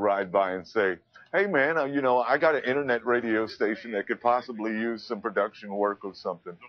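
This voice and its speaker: A man with a plain, everyday voice and an American accent, fairly quick in pace, medium in pitch, with ordinary pitch variation. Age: 50s. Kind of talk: interview answer.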